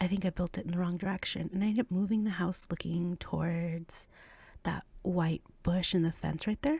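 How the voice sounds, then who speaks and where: The voice is quiet and moves at a moderate pace. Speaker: gaming video creator. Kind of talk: casual gameplay commentary. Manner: quiet, low volume.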